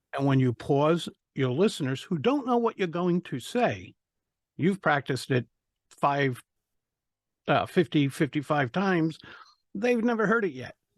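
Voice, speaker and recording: A man with a slight Rhode Island accent speaks in a fairly high voice, with very wide pitch swings and long, frequent pauses. His pace is fairly slow, and the sound is dry and close, with no echo against a quiet background. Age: 60s. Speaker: public speaking coach. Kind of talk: podcast interview.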